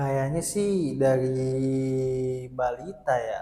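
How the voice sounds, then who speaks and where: This voice belongs to a man. It sits fairly high in pitch. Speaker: university student, interviewee. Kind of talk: interview.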